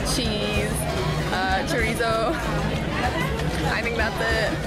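A woman at a very slow pace over music in the background. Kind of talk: casual vlog chat. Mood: cheerful. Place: market. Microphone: phone near.

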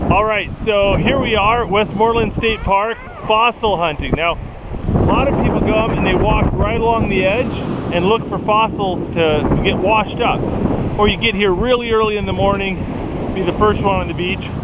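A man at a moderate pace, dry sound with no echo, loud background noise behind him. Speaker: family outdoor vlogger. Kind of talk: casual vlog tutorial. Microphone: phone near.

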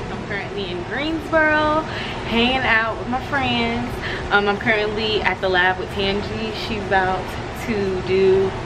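The voice moves at a fairly slow pace against loud background noise. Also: woman. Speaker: vlogger. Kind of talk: casual vlog chat. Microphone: phone near.

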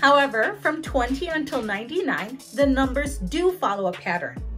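A woman speaks at a high pitch in an American accent, her pitch swinging very widely. Faint music plays in the background. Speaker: English as a second language teacher. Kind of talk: educational tutorial narration. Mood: friendly, upbeat. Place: home room. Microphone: lapel.

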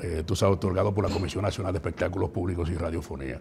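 A man's voice with light background noise. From Dominican Republic, La Vega; Dominican Republic. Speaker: professional radio announcer. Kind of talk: casual interview. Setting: studio. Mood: critical, indignant at times. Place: studio. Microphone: lapel.

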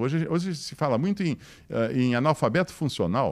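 A man keeps a moderate pace, with a quiet background behind him. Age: 60s. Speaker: motivational speaker. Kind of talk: lecture. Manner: animated. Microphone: handheld.

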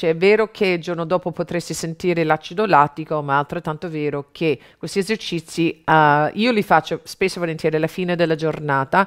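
A woman speaks in a plain, everyday voice at a fairly quick pace. Her pitch is fairly low and her intonation fairly even. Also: quiet background. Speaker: fitness instructor. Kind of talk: tutorial. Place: studio.

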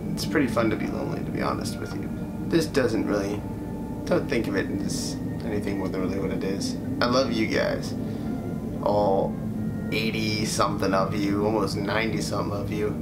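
A man speaks at a fairly quick pace over loud background noise. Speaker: YouTuber. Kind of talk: casual talk to camera. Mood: reflective, subdued. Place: home room. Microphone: phone near.

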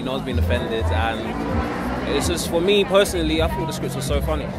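A man is speaking, with clear music in the background. The sound is dry, with no echo. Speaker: actor at film premiere. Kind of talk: interview answer. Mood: upbeat, laughs. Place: street. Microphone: handheld.

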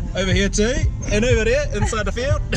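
Over clear music in the background, a man speaks in a dry sound with no echo. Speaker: vlogger. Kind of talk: casual vlog chat. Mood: nostalgic, laughing. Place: car. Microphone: phone near.

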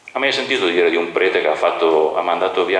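Talking at a very fast pace, a man uses a low pitch. Strong room echo surrounds his voice. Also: fairly bright tone.

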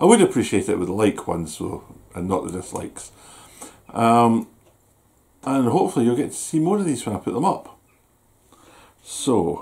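Speaking in a Scottish accent at a moderate pace, a man makes very wide pitch swings and takes long, frequent pauses. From Scotland. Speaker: YouTuber doing food reviews. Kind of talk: casual vlog review. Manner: chatty, hesitant with fillers. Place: home room. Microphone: camera far.

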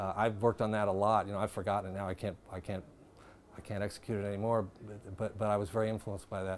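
Man with an American accent, fairly low pitch, very fast pace, monotone flat intonation, and light background noise. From US Midwest (Dayton, Ohio); Ohio. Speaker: jazz bass player; interviewee. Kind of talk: interview. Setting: filmed interview. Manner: halting, many repetitions. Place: bar. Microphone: lapel.

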